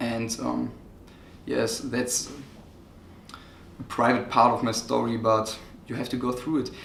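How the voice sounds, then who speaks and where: A man at a medium pitch with a non-native accent, slow-ish and monotone, with long, frequent pauses and audible room echo. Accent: non-native English speaker. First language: German. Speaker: online marketing coach. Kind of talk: casual interview chat. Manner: halting.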